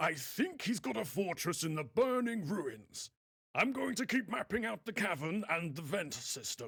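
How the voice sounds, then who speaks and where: The speaker is a man doing a put-on character voice. It sits high in pitch. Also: moderate pace. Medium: video game. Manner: jovial.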